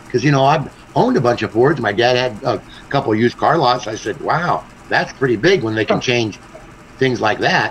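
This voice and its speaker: The speaking pace is fairly quick, with ordinary pitch variation. Noticeable background noise can be heard. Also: man, medium pitch for a man. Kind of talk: casual chat. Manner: loud; halting, many fillers.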